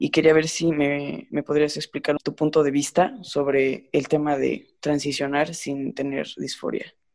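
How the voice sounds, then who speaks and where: An unremarkable speaking voice from a man, fairly high in pitch, fairly slow in pace, with fairly even intonation. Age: 20s. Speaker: former student. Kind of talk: casual chat.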